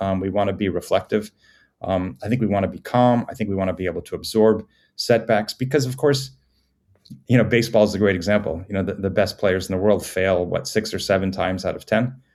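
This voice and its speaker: A man with an American accent speaks at a fairly quick pace in a fairly low pitch, with ordinary pitch variation, on a very clean recording with a silent background. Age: 60s. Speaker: performance psychologist. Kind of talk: podcast interview. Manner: halting.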